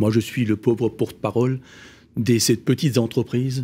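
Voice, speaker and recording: A man speaks at medium pitch with a dark, mellow tone, fairly even intonation and an Alsatian accent. The recording is very clean, with a silent background. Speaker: business financing company founder, panelist. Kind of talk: panel discussion.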